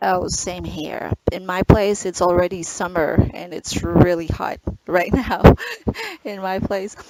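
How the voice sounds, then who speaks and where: Against noticeable background noise, a woman with a fairly low pitch talks at a fairly slow pace, her intonation fairly even but her loudness swinging widely. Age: 30s. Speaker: online ESL teacher. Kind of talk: online English lesson. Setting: video call.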